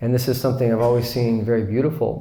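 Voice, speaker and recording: A man with an American accent speaks at medium pitch, at a fairly quick pace, with fairly even intonation. His tone is dark, mellow and somewhat breathy, and there is audible room echo. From US. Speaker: Islamic teacher. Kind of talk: lecture. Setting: retreat class with audience.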